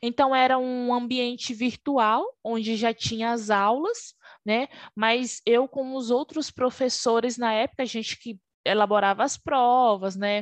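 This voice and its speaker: A high-pitched woman's voice at a fairly slow pace, fairly even in intonation, with a dry, close sound, no echo and a quiet background. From Brazil, Alagoas (Northeast). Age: 20s. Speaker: Scrum Master, former QA analyst. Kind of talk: interview.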